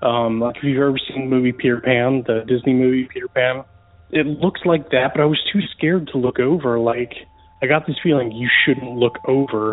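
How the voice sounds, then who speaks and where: Noticeable background noise sits behind a man with a medium-pitched voice. He talks at a moderate pace with fairly even intonation. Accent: American. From US South (Georgia and Florida). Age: 30s. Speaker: caller. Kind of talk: recorded voicemail story.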